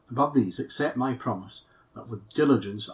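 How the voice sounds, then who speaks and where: Somewhat breathy, a man talks at a moderate pace in a medium pitch with ordinary pitch variation. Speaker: minister. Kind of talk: sermon.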